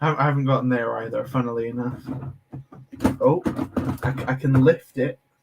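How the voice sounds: A man of medium pitch speaks at a fairly slow pace with fairly even intonation, vocal fry and a slightly husky edge.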